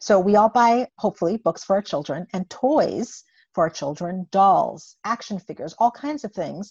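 Over a quiet background, a woman with an American accent talks in a plain, everyday voice at a moderate pace, with ordinary pitch variation and a dry, close sound with no echo. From US Virgin Islands (St. Croix). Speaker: pediatric psychologist. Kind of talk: interview.

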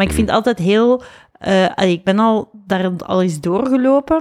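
A woman talks at a moderate pace with ordinary pitch variation. Hers is an unremarkable speaking voice. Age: 40s. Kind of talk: casual chat.

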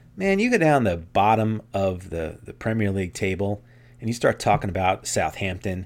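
A man with a plain, everyday voice and fairly low pitch speaks at a moderate pace in a very clean recording with a silent background. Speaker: podcast co-host. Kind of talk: casual chat.

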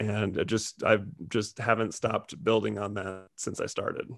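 Against a quiet background, a man with an American accent speaks in a fairly low pitch and a monotone, flat intonation. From California. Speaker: comedian and comedy club owner. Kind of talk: casual interview.

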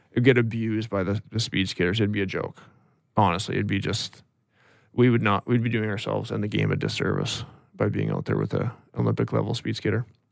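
A man with a Canadian accent at a very fast pace. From British Columbia, Canada (Interior). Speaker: retired hockey player. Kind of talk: interview.

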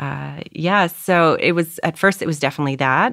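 A woman with a Canadian accent speaks at a moderate pace with vocal fry and ordinary pitch variation. The recording is very clean, the background silent. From Canada, Toronto. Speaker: actress. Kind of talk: casual chat.

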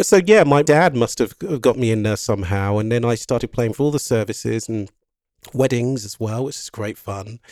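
This is an ordinary speaking voice at a moderate pace with ordinary pitch variation. Its loudness swings widely. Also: man, medium pitch for a man. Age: 50s. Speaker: composer and pianist. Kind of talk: casual chat. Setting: video call.

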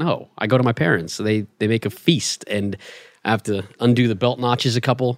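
A man with an American accent has a normal speaking voice at medium pitch, with ordinary pitch variation. He speaks at a fairly quick pace, and the sound is dry and close with no echo. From Los Angeles. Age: 30s. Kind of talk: casual chat.

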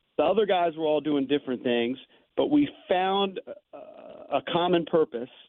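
A man talks at a moderate pace in a high voice with very wide pitch swings. His loudness stays very even. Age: 50s. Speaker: morning sports radio host and author. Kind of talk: casual interview. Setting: guest line into radio studio.

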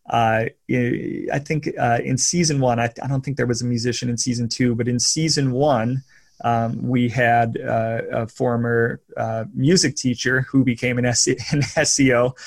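Over a silent background in a very clean recording, a somewhat breathy voice moves at a fairly slow pace with fairly even intonation. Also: man, medium pitch for a man. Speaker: podcast host. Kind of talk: casual chat.

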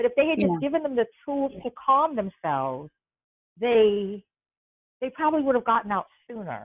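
Speaking at a moderate pace with long, frequent pauses, a woman uses a fairly high pitch that swings very widely. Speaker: writer and advocate for incarcerated women. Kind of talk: interview. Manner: articulate.

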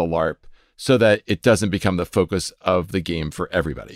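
Recorded dry and close with no echo and a silent background, a man speaks with a very deep, low pitch in a very clean recording. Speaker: podcast host. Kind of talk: casual interview.

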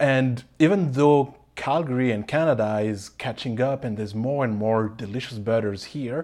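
A man with a French accent talks at a moderate pace and medium pitch, with ordinary pitch variation, hardly any pauses, and a quiet background. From Paris, France. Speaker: pastry chef and baking teacher. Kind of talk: casual interview.

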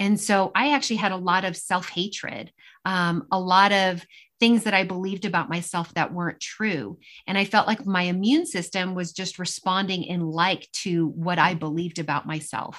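Woman in a plain, everyday voice, moderate pace and ordinary pitch variation, in a very clean recording with a silent background. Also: medium pitch for a woman. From New York, US (Italian-Argentine immigrant family). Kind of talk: interview testimony.

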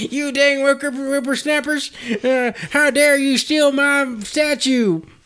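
A put-on character voice, high-pitched and very slow. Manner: crotchety.

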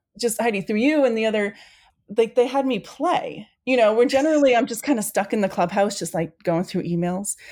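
In a very clean recording with a silent background, a woman with an American accent talks at a fairly quick pace with lively intonation. She has a normal speaking voice at a fairly high pitch. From Maine, US Northeast. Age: 40s. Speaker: foundation staff member. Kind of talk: casual chat.

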